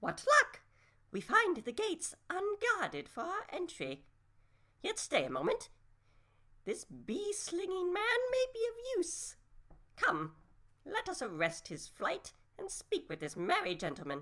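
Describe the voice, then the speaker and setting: A squeaky, female-sounding put-on character voice at an extremely high pitch and a fairly slow pace. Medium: audio drama. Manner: florid, archaic, condescending.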